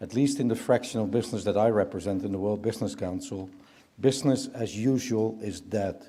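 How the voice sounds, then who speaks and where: Speaking at a moderate pace with a Dutch accent, a man has a medium pitch and a dark, mellow tone. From Netherlands. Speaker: business leader, keynote speaker. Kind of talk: keynote speech.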